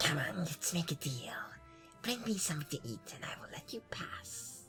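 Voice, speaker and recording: A put-on character voice, raspy and hissing, sits at a middle pitch. It moves at a moderate pace over clear music in the background. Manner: bargaining.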